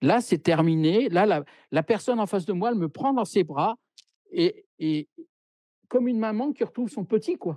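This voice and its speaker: A man's high-pitched voice, dark and mellow in tone, with lively intonation, a fairly slow pace and long, frequent pauses, dry with no echo against a quiet background. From France. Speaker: medium; interviewee. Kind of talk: interview. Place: home room. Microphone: video call.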